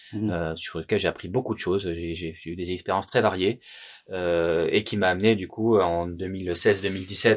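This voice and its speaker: A man's very deep, low voice at a moderate pace, with fairly even intonation and a very clean recording against a silent background. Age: 30s. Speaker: company director. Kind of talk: interview.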